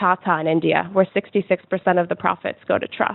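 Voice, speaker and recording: Against noticeable background noise, a woman with an American accent speaks at a moderate pace in a monotone, flat intonation. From United States. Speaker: conference speaker. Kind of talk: conference presentation.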